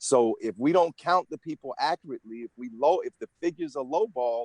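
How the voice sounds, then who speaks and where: An ordinary speaking voice moves at a fairly quick pace with lively intonation and a dry, close sound with no echo. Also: man. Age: 60s. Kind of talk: interview.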